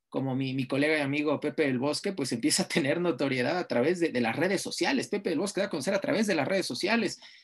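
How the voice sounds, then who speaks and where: Using lively intonation, a man with an ordinary speaking voice talks at a fairly high pitch. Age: 30s. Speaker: sports journalist and lecturer. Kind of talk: interview.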